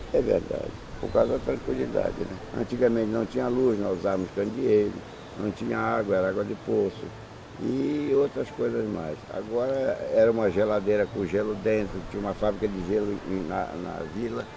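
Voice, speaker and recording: This man talks at a moderate pace with lively intonation and a fairly low pitch, with noticeable background noise behind him. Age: 70s. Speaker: interviewee, longtime islander. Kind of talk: interview.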